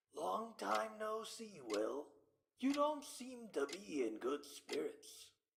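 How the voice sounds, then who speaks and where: Putting on a character voice, a man speaks very slowly at a high pitch. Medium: audio drama. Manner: smooth, coaxing.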